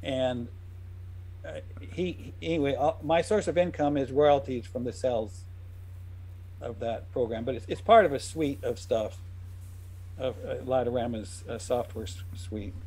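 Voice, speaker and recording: A man's somewhat breathy, dark and mellow voice, fairly slow, with lively intonation and long, frequent pauses. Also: medium pitch for a man. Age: 60s. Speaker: software developer, retro game creator. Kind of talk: casual chat. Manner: halting.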